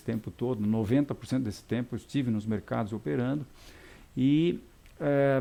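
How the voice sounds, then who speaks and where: This man has a dark, mellow tone at medium pitch, with ordinary variation in his pitch. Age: 60s. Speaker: technical market analyst. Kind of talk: live market analysis webcast. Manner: halting, many repetitions and fillers.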